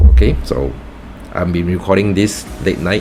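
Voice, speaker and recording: A man's voice with noticeable background noise. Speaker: gaming youtuber. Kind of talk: gameplay tutorial commentary. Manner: slow.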